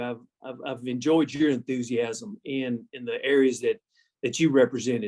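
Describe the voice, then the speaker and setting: Dry and close, the sound has no echo. A man with a Texas accent speaks with ordinary pitch variation. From South Texas. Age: 60s. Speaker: agricultural organization executive. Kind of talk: interview.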